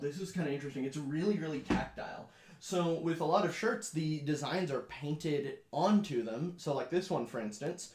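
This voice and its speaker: A man's unremarkable speaking voice, fairly high in pitch, at a moderate pace with ordinary pitch variation. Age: 20s. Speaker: blind gaming YouTuber. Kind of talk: casual Q&A video. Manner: casual with many fillers.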